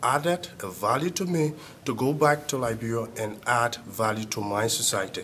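Light background noise sits behind a man talking at a moderate pace with ordinary pitch variation. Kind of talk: testimonial to camera. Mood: grateful, earnest. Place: office.

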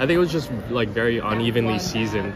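A man speaks fairly quickly while noticeable background noise is present. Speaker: vlogger. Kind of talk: casual vlog chat. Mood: mildly disappointed, joking. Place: market. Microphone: phone near.

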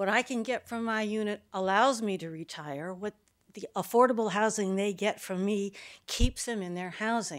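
In a very clean recording with a silent background, a woman with an ordinary speaking voice talks at a moderate pace in a fairly high pitch with ordinary pitch variation. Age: 60s. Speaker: retired landlord, public commenter. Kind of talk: public comment at meeting. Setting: county board meeting.

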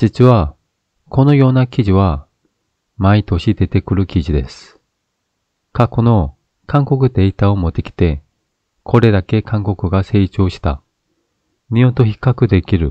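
A man with a Korean accent speaks in a dark, mellow tone at a fairly low pitch, with lively intonation and a fairly slow pace marked by long, frequent pauses. The sound is dry and close with no echo, over a quiet background. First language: Korean (speaking Japanese). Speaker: YouTube political commentator. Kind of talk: opinion commentary monologue.

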